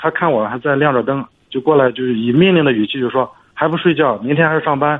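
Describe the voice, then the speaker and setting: This man talks at a moderate pace, his pitch in the medium range. There is ordinary variation in his pitch. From Shandong, Jinan area. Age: 30s. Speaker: caller. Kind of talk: call-in advice. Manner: halting.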